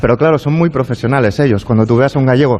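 His pitch variation is ordinary. The man talks at a very fast pace. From Catalonia, of Galician descent. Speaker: writer. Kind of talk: casual chat. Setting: live radio broadcast from an art gallery.

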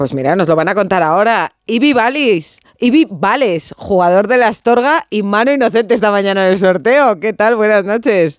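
This is a woman with a normal speaking voice and a medium pitch. Her intonation is lively, her loudness very even and her pace moderate. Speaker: sports radio host. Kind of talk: casual chat. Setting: studio.

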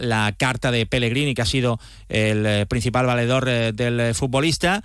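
On a very clean recording with a silent background, a man with an unremarkable speaking voice talks at a fairly slow pace. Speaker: sports reporter. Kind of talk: sports news report.

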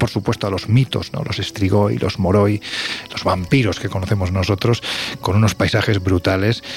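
This man talks at a moderate pace. Noticeable background noise runs behind him. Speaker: radio host. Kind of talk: casual chat.

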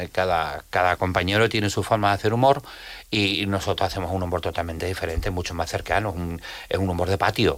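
Over a very clean recording with a silent background, a man with a very deep, low pitch speaks at a very fast pace. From Jerez de la Frontera, Andalusia. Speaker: comedian. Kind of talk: casual chat. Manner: animated.

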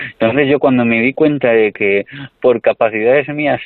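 A man at medium pitch speaks in a normal speaking voice. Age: 30s. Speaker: comedian. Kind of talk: interview.

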